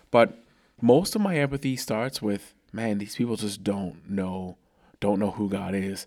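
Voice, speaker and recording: Here a man uses a normal speaking voice, fairly low in pitch with ordinary pitch variation. He goes at a fairly slow pace on a very clean recording with a silent background. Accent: American. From outside the US. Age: 30s. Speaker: podcast host. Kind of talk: casual chat.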